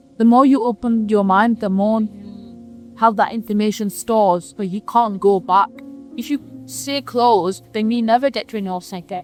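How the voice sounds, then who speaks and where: Music plays in the background as a woman speaks. Her pace is moderate and her pitch varies in an ordinary way. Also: fairly high pitch for a woman. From Manchester, England. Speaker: interviewee. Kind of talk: interview answer.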